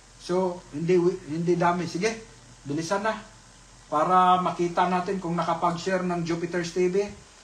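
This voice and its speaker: A man's high-pitched voice at a moderate pace, flat and monotone, with audible room echo and noticeable background noise. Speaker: livestream raffle host. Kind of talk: live raffle stream. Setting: live stream.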